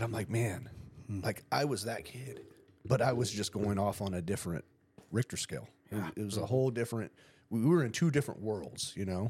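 A somewhat breathy man with an American accent and a fairly low pitch. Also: ordinary pitch variation, fairly quick pace. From San Diego County, California. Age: 40s. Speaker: podcast host. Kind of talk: casual chat.

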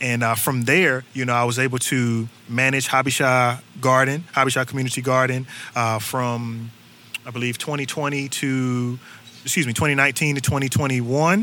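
With a North Carolina accent, a man speaks at a fairly slow pace and medium pitch with fairly even intonation, over noticeable background noise. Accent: Southern US (North Carolina). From North Carolina, Durham. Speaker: urban agriculture worker and musician. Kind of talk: casual interview. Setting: outdoors on a back porch.

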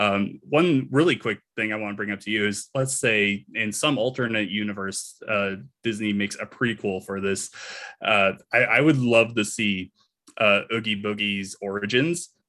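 Moving at a moderate pace with ordinary pitch variation, this is a normal speaking voice. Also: man, fairly low pitch for a man. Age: 30s. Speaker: writer and content creator. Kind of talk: casual chat.

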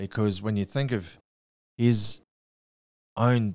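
A man speaks at a fairly slow pace with an Australian accent, his pitch fairly low and its variation ordinary. The recording is very clean, with a silent background. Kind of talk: casual interview chat.

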